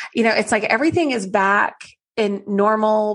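A woman with an American accent speaks fairly slowly at a medium pitch. Her tone is animated. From Oklahoma. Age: 40s. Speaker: podcast host, marketing consultant. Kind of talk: casual solo podcast talk.

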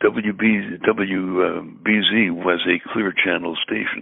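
The speaker is a man with an American accent. His pitch is very deep and low. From US Northeast (Brooklyn, New York). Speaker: radio disc jockey and voiceover artist. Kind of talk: casual interview conversation.

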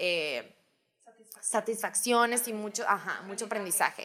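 Pitch moves with ordinary variation. The tone comes across bright and sharp. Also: woman. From Hermosillo, Sonora, Mexico. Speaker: podcast co-host. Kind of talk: casual chat.

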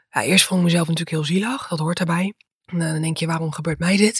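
Very fast and somewhat breathy, a woman speaks in a fairly low pitch with monotone, flat intonation. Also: dry, close sound with no echo. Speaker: dietitian and PhD researcher. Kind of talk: interview.

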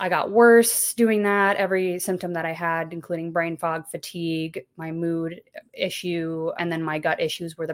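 At a moderate pace with hardly any pauses, a woman uses a normal speaking voice, fairly low in pitch with fairly even intonation, in a very clean recording with a silent background. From Texas. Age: 30s. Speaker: YouTube content creator, stay-at-home mom. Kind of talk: interview conversation.

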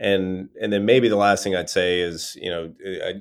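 A man with an American accent talks on a very clean recording over a silent background. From Eastern North Carolina. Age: 40s. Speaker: entrepreneur and former army officer. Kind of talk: interview.

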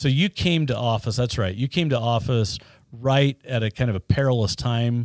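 A man with an American accent speaks in a normal speaking voice at a moderate pace, his medium pitch showing ordinary variation and his loudness very even, in a very clean recording with a silent background and a dry, close sound with no echo. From Utah (Ogden). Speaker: podcast host, former party official. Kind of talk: interview.

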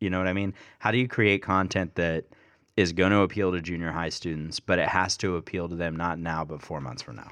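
Against a quiet background, a man with a very deep, low pitch talks at a fairly quick pace, with ordinary pitch variation and big swings in loudness. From Kentucky. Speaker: youth ministry podcast host. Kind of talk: casual interview.

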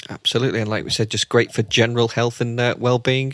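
At a very fast pace, a man speaks with fairly even intonation in a dry, close sound with no echo. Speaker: cricket fitness podcast host. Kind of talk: casual chat.

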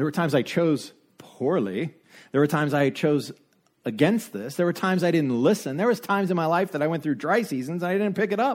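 In a very clean recording with a silent background, a man speaks at a high pitch with lively intonation and a fairly quick pace. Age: 40s. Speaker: pastor. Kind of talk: sermon. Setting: church.

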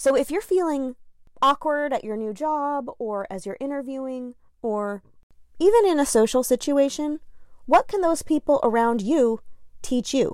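A woman with an American accent speaks at a moderate pace in a high voice with lively intonation. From New Jersey. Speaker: podcaster and confidence coach. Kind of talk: solo podcast monologue.

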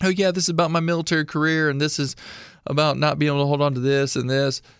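In an American accent, a man with a fairly high pitch talks at a very fast pace in a very clean recording with a silent background. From Illinois. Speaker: military veteran and artist. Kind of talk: casual interview chat.

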